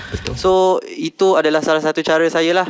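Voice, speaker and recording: At a moderate pace, a man speaks with fairly high pitch and a monotone, flat intonation. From Malaysia, Selangor (Shah Alam); Selangor, Malaysia. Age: 20s. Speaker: contestant in a business pitch competition. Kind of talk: business pitch and Q&A. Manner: halting, many fillers. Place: studio. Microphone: headset.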